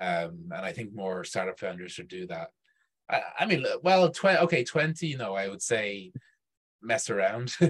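A man speaks in a Dublin accent with a fairly low pitch. His pace is moderate and his pitch swings very widely. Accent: Irish (Dublin). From Ireland, Dublin. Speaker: startup event organizer. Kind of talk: casual chat. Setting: video call.

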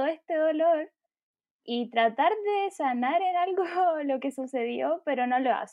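A woman with a Chilean accent, her pitch varying in an ordinary way, at a fairly slow pace. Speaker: podcast co-host. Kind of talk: solemn commemoration; casual chat.

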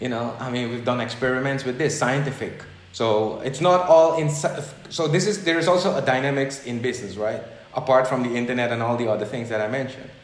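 Speaking at a fairly quick pace over noticeable background noise, a man uses a medium pitch with ordinary pitch variation. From Suriname. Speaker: business consultant and philosopher interviewed for research. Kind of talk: casual interview conversation. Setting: video call.

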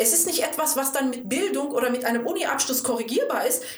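A woman speaks at a high pitch with lively intonation. Room echo is audible, along with noticeable background noise. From Germany, Cologne. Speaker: couples counsellor. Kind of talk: interview.

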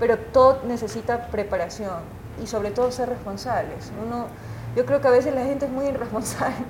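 A woman's high-pitched voice at a fairly quick pace, with fairly even intonation and noticeable background noise. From Ecuador, Guayaquil. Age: 30s. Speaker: journalist and TV news anchor. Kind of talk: casual interview.

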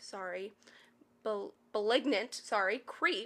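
A woman's normal speaking voice, fairly high in pitch with ordinary pitch variation, on a very clean recording against a silent background. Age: 20s. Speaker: podcast co-host. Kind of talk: reading aloud Reddit posts with casual commentary.

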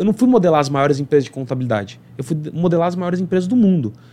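This man's intonation is lively. His pitch sits high. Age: 30s. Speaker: accountant and entrepreneur. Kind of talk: interview.

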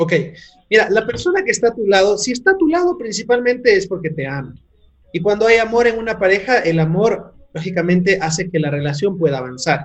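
A man is talking. His pace is fairly quick. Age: 30s. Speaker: entrepreneur and mentor. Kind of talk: interview. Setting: video call.

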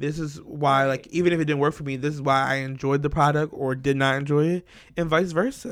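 A plain, everyday voice from a man, fairly high in pitch, fairly even in intonation and fairly quick in pace, on a very clean recording with a silent background. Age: 20s. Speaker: podcast co-host. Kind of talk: casual chat.

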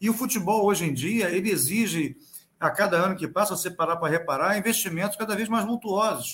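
A man with a high voice talks at a fairly quick pace, his pitch varying in an ordinary way. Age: 50s. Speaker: lawyer. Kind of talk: casual chat.

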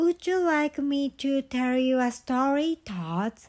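A female-sounding put-on character voice, high-pitched, at a fairly slow pace. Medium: read story. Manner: gentle.

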